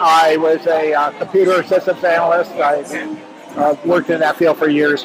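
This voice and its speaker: With music in the background, a man speaks in an American accent at a high pitch. His pace is moderate and his intonation fairly even. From central Pennsylvania, US. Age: 70s. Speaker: retired computer systems analyst. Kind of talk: personal testimony interview.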